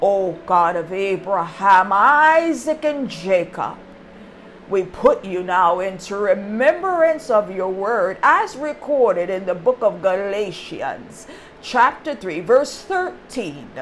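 A woman talks at a very slow pace with very wide pitch swings and a medium pitch. Noticeable background noise runs underneath. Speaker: preacher. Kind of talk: sermon with prayer. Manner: formal, archaic religious diction; slow, deliberate when praying.

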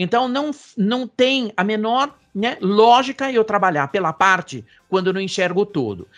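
Pitched high, a man talks at a fairly slow pace with lively intonation. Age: 60s. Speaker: professor and futurist. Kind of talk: interview. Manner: hesitant fillers.

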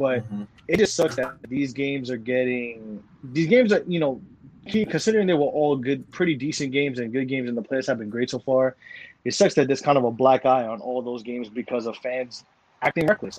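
A man with an American accent talks at a fairly quick pace in an ordinary speaking voice. His pitch is medium, with ordinary variation. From New York. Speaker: sports podcast host. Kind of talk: casual chat.

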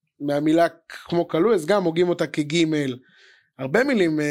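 The recording of a man is very clean, with a silent background. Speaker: podcast host. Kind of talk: casual chat interview. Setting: studio. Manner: excitable.

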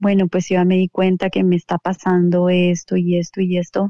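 The speaker is a woman with a medium pitch. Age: 40s. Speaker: entrepreneur. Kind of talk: interview. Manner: halting.

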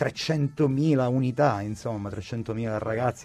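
A man's medium-pitched, dark, mellow voice with ordinary pitch variation. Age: 40s. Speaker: radio presenter. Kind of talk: casual chat. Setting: studio.

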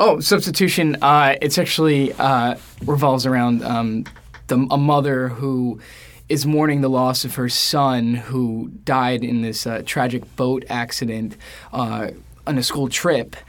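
An unremarkable speaking voice from a man, at a fairly slow pace with ordinary pitch variation. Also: medium pitch for a man. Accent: American. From New York, Queens. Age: 20s. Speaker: stage actor. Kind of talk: interview.

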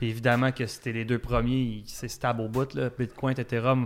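A man speaks with a Quebec accent and fairly even intonation. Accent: Québécois French. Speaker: podcast co-host. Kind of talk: casual chat.

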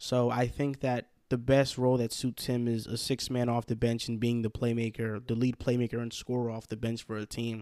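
With a New Jersey accent, a man speaks at a moderate pace in a medium pitch with a dark, mellow tone and hardly any pauses, the sound dry and close with no echo. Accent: New York-like New Jersey. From Hackensack, New Jersey. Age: 20s. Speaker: sports podcast host, guest. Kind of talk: casual sports chat. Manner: energetic.

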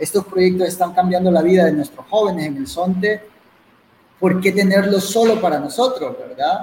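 With a Salvadoran accent, this man speaks at a high pitch with ordinary pitch variation. Noticeable background noise is audible behind him. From El Salvador, coastal community. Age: 30s. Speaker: bitcoin community organizer. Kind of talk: online interview.

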